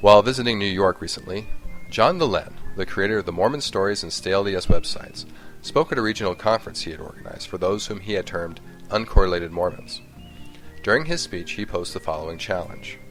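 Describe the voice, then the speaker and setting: Music plays behind a man who talks at a very fast pace with a fairly low pitch. His pitch variation is ordinary, while his loudness swings widely. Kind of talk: scripted commentary narration.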